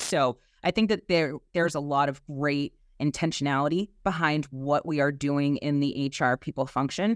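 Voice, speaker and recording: A woman speaks with a Boston accent. The sound is dry and close, with no echo. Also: very clean recording, silent background. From Boston, South Boston. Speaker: HR executive. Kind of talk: podcast interview.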